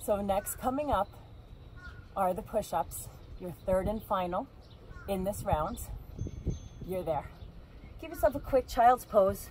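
Over light background noise, the dry, echo-free speech moves at a fairly slow pace, with big swings in loudness and long, frequent pauses. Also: woman. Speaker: fitness instructor. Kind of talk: workout instruction. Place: waterside. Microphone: camera far.

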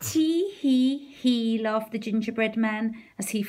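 The pitch varies in an ordinary way in a natural reading voice.

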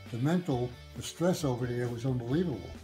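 With clear music behind him, the man's delivery moves along fairly quickly. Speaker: war veteran. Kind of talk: interview answer. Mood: somber, reflective. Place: home room. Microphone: phone near.

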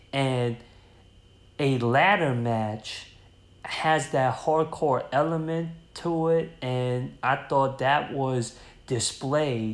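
Audible room echo surrounds a man who talks at a very slow pace, at medium pitch with ordinary pitch variation. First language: not Spanish. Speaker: wrestling review YouTuber. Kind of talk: solo review monologue.

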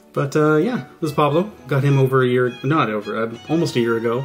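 Faint music plays in the background as a man speaks at a moderate pace. His pitch variation is ordinary. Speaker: hobby channel host. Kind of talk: casual vlog chat. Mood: relaxed, slightly reflective. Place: home room.

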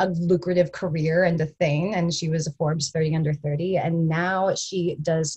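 The delivery moves at a moderate pace, with a slightly husky edge and fairly even intonation. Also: woman.

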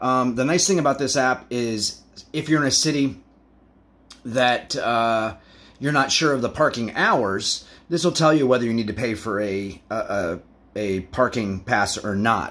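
This man speaks at a fairly slow pace with a medium pitch and ordinary pitch variation. The recording is very clean, with a silent background. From United States. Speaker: travel vlogger. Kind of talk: tutorial. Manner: hesitant, frequent fillers.

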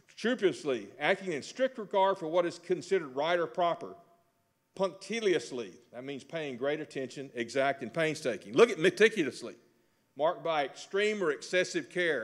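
With a Texan accent and lively intonation, this voice moves at a moderate pace against a quiet background. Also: man. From Texas. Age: 60s. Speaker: real estate instructor. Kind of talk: lecture. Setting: stage with audience. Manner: folksy. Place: hall. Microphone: podium.

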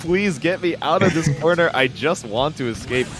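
Music plays in the background. A man speaks in an energetic tone. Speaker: esports commentator; voice actor. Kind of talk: esports match commentary, fast and excited. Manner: fast, energetic, hyped play-by-play.

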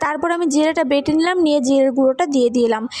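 A woman's high-pitched voice with ordinary pitch variation, over noticeable background noise. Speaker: lifestyle vlogger, new mother. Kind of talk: casual vlog talk to viewers. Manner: chatty, conversational.

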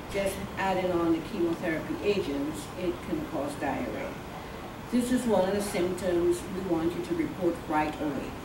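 Noticeable background noise sits behind a woman talking at a moderate pace. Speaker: oncology nurse. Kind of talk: educational talk with audience Q&A. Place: meeting room. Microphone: camera far.

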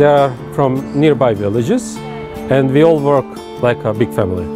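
Clear music sits in the background while a man talks in a dry recording with no echo. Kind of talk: interview answer. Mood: calm, friendly. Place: street.

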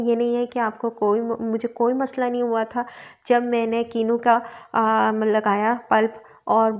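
Fairly slow pace from a woman speaker. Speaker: beauty vlogger. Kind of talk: tutorial. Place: home room. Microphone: phone near.

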